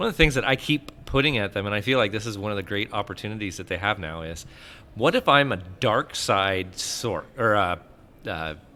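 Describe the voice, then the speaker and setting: A loud man with a fairly low pitch, a bright, sharp tone, lively intonation, and a fairly quick pace. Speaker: gaming podcast host. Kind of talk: casual chat.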